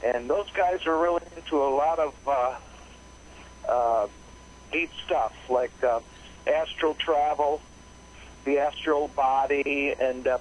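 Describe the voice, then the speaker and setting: A man speaks very slowly with long, frequent pauses, very even loudness and fairly even intonation, against noticeable background noise. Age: 60s. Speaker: caller. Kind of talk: call-in conversation. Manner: halting.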